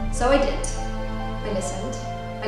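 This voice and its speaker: Clear music plays in the background. The room echo is strong. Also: woman. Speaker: actress and playwright. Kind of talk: casual talk to camera. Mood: warm, reflective. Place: home room. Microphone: camera far.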